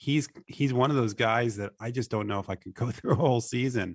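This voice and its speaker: Over a quiet background, a man in a plain, everyday voice talks at a moderate pace and medium pitch with ordinary pitch variation. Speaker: sports radio co-host. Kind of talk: sports talk radio show.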